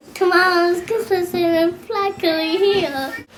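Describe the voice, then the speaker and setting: A woman puts on a character voice at an extremely high pitch. She talks at a fairly slow pace with ordinary pitch variation. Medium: read story.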